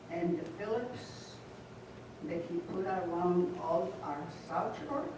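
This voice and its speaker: Speaking very slowly in an American accent with ordinary pitch variation, the voice comes through audible room echo and noticeable background noise. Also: woman, fairly low pitch for a woman. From northwest Indiana (Hammond). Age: 70s. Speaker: public meeting commenter. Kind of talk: public comment. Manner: too quiet.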